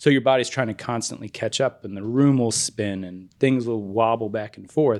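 In a plain, everyday voice, a man of medium pitch talks at a moderate pace with hardly any pauses, fairly even intonation and big swings in loudness over a quiet background. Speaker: podcast co-host. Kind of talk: casual chat.

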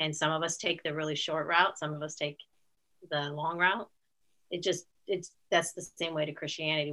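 Leaving long, frequent pauses, a woman with a Midwestern American accent speaks in a fairly low pitch and a bright, sharp tone with monotone, flat intonation. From US Midwest (northeast Ohio). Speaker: aunt of the host, grandmother. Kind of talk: interview.

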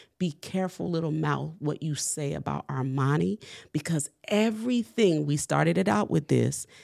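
In a New Orleans accent, a woman speaks at a fairly slow pace. The recording is very clean, with a silent background. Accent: New Orleans US Southern. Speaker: entrepreneur and baker. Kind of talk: testimony.

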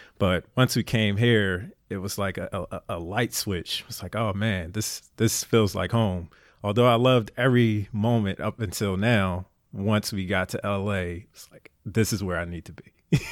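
A man with a Philadelphia accent speaks at a moderate pace and fairly low pitch. His intonation is fairly even, though his loudness swings a lot. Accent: Philadelphia American. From Philadelphia, US. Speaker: navy veteran and endurance athlete. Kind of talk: casual interview.

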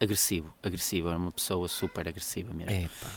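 A man is speaking. The recording is very clean with a silent background and a dry, close sound with no echo. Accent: European Portuguese. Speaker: podcast co-host. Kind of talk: casual chat.

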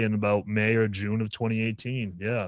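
A man with a medium pitch and a normal speaking voice. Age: 20s. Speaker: musician in a band. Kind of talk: casual chat.

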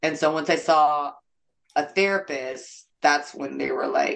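A woman with an American accent, very deep and low in pitch, at a fairly slow pace. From US West Coast, San Jose, California. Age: 30s. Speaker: comedian. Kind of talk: casual chat. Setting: video call.

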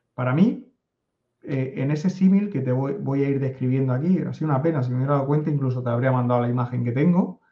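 A man's somewhat breathy, fairly high voice in a Spanish accent, at a fairly quick pace. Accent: Spanish (Spain). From Spain. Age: 50s. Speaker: data analytics consultant. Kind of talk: interview conversation.

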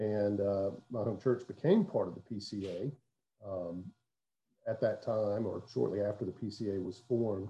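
With a Southern US accent, a man speaks at a fairly slow pace in a fairly low pitch, his tone dark and mellow, somewhat breathy, with ordinary pitch variation. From US South, south Mississippi (Hattiesburg). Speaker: pastor. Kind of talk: casual interview.

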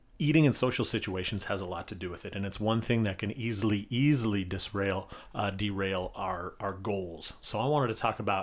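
A man speaks fairly quickly with hardly any pauses, in an ordinary speaking voice. His pitch is fairly low with ordinary variation. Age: 40s. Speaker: physical therapist and podcast host. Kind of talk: casual solo podcast monologue. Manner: casual, filler-heavy.

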